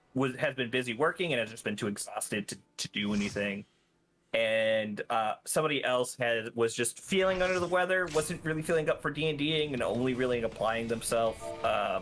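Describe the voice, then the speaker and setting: A man with an American accent speaks in an unremarkable speaking voice at a medium pitch. His pace is fairly quick and his intonation lively. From US South. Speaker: streamer. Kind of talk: casual chat.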